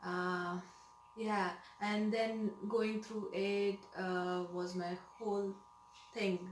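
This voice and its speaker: A woman speaks at medium pitch with ordinary pitch variation. Audible room echo and noticeable background noise fill the recording. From India, Mumbai. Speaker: nurse. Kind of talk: interview. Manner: hesitant, many fillers.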